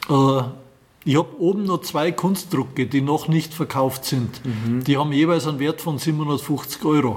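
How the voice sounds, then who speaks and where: A somewhat breathy man with a Bavarian accent speaks fairly slowly at a fairly high pitch. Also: ordinary pitch variation, hardly any pauses. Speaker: classic car rally organizer. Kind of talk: interview. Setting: in his garage museum.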